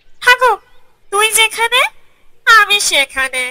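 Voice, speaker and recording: The cartoonish character voice comes out squeaky. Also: female-sounding voice, extremely high pitch for a woman. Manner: nervous, greedy.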